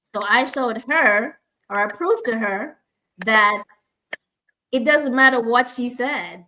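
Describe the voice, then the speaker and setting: With a Jamaican accent, a woman speaks at a moderate pace, her high voice bright and sharp with ordinary pitch variation. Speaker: speech language pathologist, forum host. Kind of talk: online panel discussion. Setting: live online stream.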